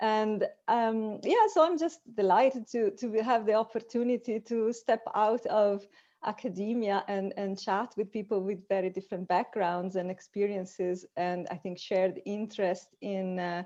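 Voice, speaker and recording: Spoken in an Italian accent at a moderate pace, the voice has a dark, mellow tone and ordinary pitch variation, set against a quiet background. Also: woman, fairly high pitch for a woman. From Italy. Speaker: cognitive scientist. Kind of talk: panel discussion. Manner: halting, repeats words.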